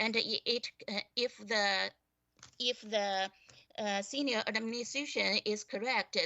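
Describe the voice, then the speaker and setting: A woman with a non-native accent, medium-pitched, with ordinary pitch variation, at a very slow pace. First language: not English. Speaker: school board trustee. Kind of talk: board meeting debate. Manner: halting, many fillers and repetitions.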